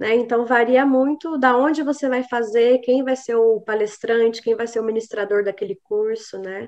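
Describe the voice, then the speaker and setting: A woman's fairly high pitch at a moderate pace, with fairly even intonation. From Brazil, São José dos Campos, São Paulo state. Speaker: psychologist and hypnotherapist. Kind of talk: interview. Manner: halting, with fillers and repetitions.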